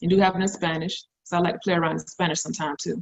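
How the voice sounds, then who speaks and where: Somewhat breathy in tone, a woman talks at a medium pitch. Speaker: forex trading promoter. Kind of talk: sales pitch. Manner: fast; animated.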